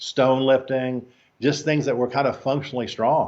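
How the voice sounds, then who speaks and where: This speaker has an American accent and a moderate pace. The intonation stays monotone and flat. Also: man. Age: 60s. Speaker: strength trainer. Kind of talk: podcast interview. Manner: hesitant, many fillers.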